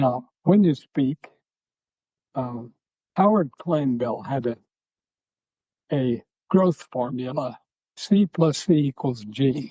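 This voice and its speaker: In a dry, close sound with no echo, a man with a dark, mellow, somewhat breathy voice at fairly high pitch speaks very slowly with lively intonation and long, frequent pauses. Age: 90s; old. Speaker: church member, former workshop leader. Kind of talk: interview answer, storytelling.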